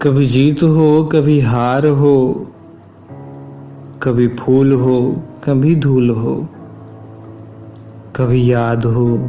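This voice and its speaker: Fairly even intonation and very even loudness, with music in the background. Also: man, medium pitch for a man. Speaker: voiceover artist. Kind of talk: poetry reading.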